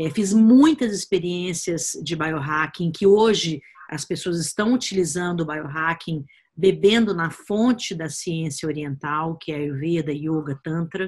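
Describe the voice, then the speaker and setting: This woman talks at a fairly slow pace with a fairly low pitch. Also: ordinary pitch variation. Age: 50s. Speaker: biohacking educator and author. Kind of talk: personal story told to course viewers. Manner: hesitant with fillers.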